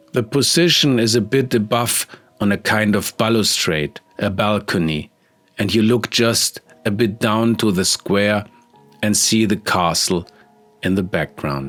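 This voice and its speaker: Music plays behind a man speaking at a fairly slow pace in a Bavarian accent. His pitch is fairly low with ordinary variation, and his loudness stays very even. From Germany, Bavaria (Munich). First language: German. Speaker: artist. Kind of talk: art tutorial narration.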